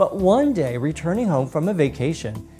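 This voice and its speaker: Music plays in the background as a woman speaks at a moderate pace. Her tone is warm and upbeat. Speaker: drag queen. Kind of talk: storytelling to camera. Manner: warm, upbeat.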